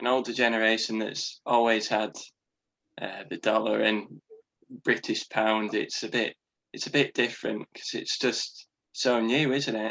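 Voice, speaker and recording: A man with a Yorkshire accent talks at a fairly slow pace. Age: 20s. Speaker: podcast guest, musician. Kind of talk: casual chat.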